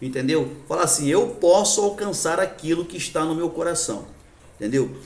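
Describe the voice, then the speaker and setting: A man talks at a moderate pace in a high voice, his pitch rising and falling in an ordinary way, with audible echo from the room. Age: 60s. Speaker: addiction recovery support group leader. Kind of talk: lecture. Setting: church. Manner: halting.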